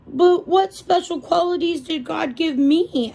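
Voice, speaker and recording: In a put-on character voice at an extremely high pitch, a woman talks at a fairly slow pace. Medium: read story. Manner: gentle, unsure.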